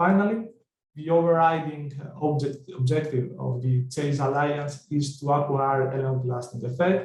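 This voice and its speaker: Male speech with audible room echo and ordinary pitch variation. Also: fairly high pitch for a man, moderate pace. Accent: Greek. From Greece. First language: Greek. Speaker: project researcher presenter. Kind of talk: conference presentation. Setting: online webinar.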